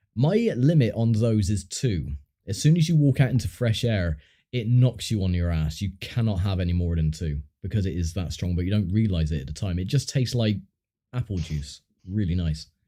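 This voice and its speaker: In a southern English accent, a man with a fairly low pitch and a dark, mellow tone talks at a fairly quick pace, somewhat breathy, with lively intonation, on a very clean recording with a silent background. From southern England. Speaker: gaming streamer. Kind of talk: casual chat. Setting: livestream. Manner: hesitant, filler-heavy.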